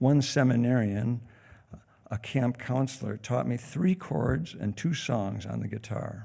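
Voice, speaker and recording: A man's medium-pitched voice with vocal fry, lively intonation and a fairly slow pace. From US Midwest, northern Michigan; partly raised in Spain. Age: 70s. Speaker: congregation elder, guest speaker. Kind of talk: sermon-style personal talk. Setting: church service.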